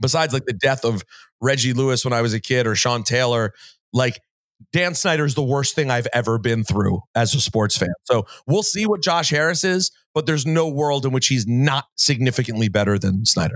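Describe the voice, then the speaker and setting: A man with an unremarkable speaking voice talks fairly quickly at a medium pitch with lively intonation and very even loudness on a very clean recording with a silent background. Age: 40s. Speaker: sports and music radio host, podcaster. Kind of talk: interview conversation.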